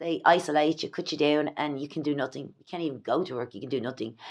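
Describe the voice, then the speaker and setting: A woman talks in an Irish accent with ordinary pitch variation. The recording is very clean and the background silent. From Ireland. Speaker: vlogger. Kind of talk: personal vlog monologue. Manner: halting.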